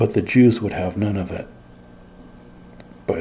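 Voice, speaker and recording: A soft-spoken man talks in a fairly low voice with fairly even intonation. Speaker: Bible teacher. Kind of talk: ASMR Bible reading with commentary.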